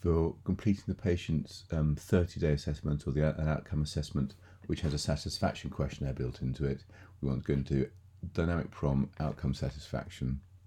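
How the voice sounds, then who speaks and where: A very deep, low-pitched male voice with vocal fry, a dark, mellow tone, and a fairly quick pace on a very clean recording with a silent background. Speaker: software tutorial presenter. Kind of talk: screen-recorded software walkthrough. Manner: monotone.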